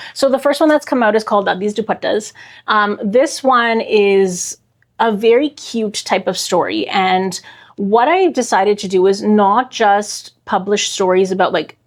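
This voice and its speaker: A woman talks in a normal speaking voice, fairly high in pitch with ordinary pitch variation, at a moderate pace on a very clean recording with a silent background. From Canada, Toronto. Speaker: children's author. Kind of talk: interview conversation.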